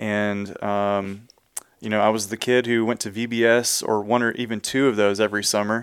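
A man speaks with a Texan accent. His intonation is monotone and flat. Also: fairly low pitch for a man, moderate pace. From Texas, Houston area. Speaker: church music and worship minister. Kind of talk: casual interview.

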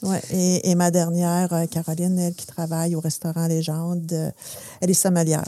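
A woman's fairly low pitch and dark, mellow tone, with monotone, flat intonation, big swings in loudness and a moderate pace on a very clean recording with a silent background. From Quebec, Saguenay (Chicoutimi). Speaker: business association director. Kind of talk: interview.

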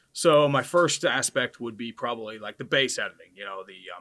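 A man's bright, sharp tone with an American accent, at a fairly quick pace. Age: 30s. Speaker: football YouTuber. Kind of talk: casual interview chat.

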